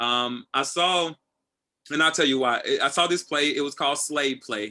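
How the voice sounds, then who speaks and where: A man with an American accent speaks loudly in a fairly high pitch, his tone bright and sharp. His pitch varies in an ordinary way, over a quiet background. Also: moderate pace. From Tennessee. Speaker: assistant director. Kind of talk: casual interview. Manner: animated.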